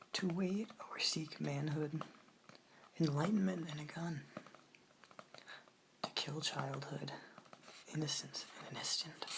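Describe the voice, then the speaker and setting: Soft-spoken whispering moves at a fairly slow pace with long, frequent pauses, against noticeable background noise. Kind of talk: ASMR poetry reading.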